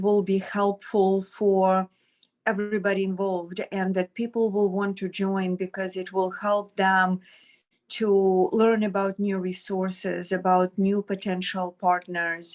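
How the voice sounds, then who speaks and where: A woman with a Ukrainian accent speaks at a very slow pace. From Ukraine. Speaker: social worker, adoption agency director. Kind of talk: online meeting introduction. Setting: video call.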